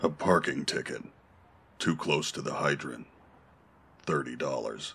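In a put-on character voice, a man sounds raspy and uses a stern, serious tone at a fairly slow pace. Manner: stern, terse, serious.

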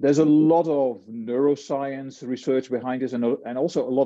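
A man talks at a moderate pace with fairly even intonation. The background is quiet. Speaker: lecturer. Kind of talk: lecture. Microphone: webcam.

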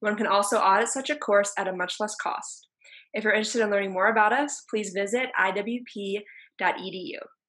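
A fairly quick pace and fairly even intonation against a quiet background. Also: woman. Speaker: event host. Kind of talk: formal introduction and moderation. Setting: video call. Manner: formal. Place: home room. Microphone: video call.

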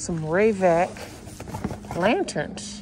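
Dry with no echo, a woman's voice is heard over noticeable background noise. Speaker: dumpster diving vlogger. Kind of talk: casual vlog chat. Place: street. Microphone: phone near.

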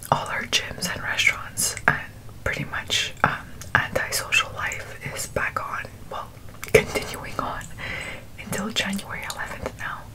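A woman's whisper, fairly slow, with long, frequent pauses and big swings in loudness. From Montreal, Quebec. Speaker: ASMR mukbang creator. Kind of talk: ASMR eating show talk to camera. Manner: whispered.

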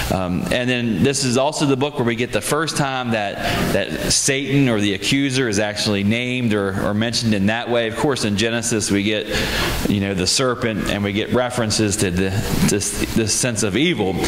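With music in the background, a man talks at a fairly quick pace, his loudness very even and his pitch varying in an ordinary way. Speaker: pastor preaching. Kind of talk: sermon. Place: church. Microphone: handheld.

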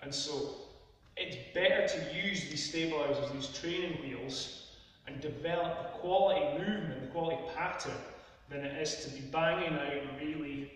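Strong room echo surrounds a man who speaks at a fairly slow pace with fairly even intonation. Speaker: fitness coach. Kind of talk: tutorial. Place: gym.

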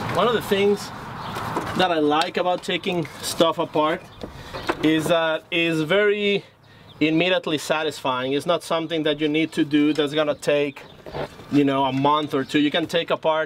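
A man speaks with fairly even intonation and very even loudness. Light background noise is present. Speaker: car builder host. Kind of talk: casual vlog chat. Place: garage.

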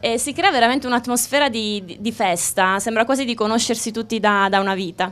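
A woman talks at a fairly quick pace with hardly any pauses. Her pitch is fairly high, with ordinary variation. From Abruzzo, Italy (Chieti); Abruzzo, Italy. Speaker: former rhythmic gymnast; TV host. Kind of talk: live TV interview. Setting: outdoors. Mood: cheerful, friendly. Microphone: handheld.

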